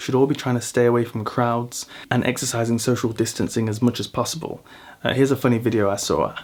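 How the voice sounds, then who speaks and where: A man speaks very fast, his pitch sitting in the medium range. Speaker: vlogger. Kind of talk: casual vlog monologue. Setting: at home in an apartment. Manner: loud; animated.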